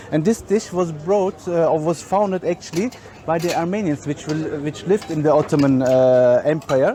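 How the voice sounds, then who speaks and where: With a German accent, a man speaks at a moderate pace in a fairly high pitch, with ordinary pitch variation and noticeable background noise. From Germany. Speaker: chef and caterer. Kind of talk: guided food tour presentation. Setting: outdoors at a crowded market. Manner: halting, many fillers.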